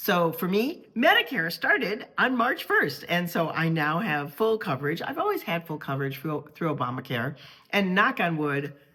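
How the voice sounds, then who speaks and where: A woman with a fairly low pitch speaks over noticeable background noise. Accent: American. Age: 60s. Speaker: travel vlogger. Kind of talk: casual vlog talk to camera.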